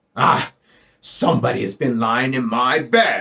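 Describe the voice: Putting on a character voice, a man sounds gruff and raspy at a medium pitch. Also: fairly slow pace.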